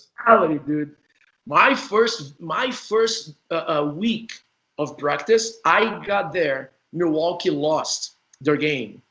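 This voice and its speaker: A man with a Portuguese accent speaks at a very slow pace in a high, bright, sharp voice. His intonation is lively. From Brazil. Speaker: former indoor soccer player, interview host. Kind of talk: casual interview chat.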